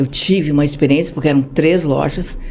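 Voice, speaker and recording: A woman speaks with audible room echo. Noticeable background noise is present. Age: 60s. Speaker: social project founder. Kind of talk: podcast interview.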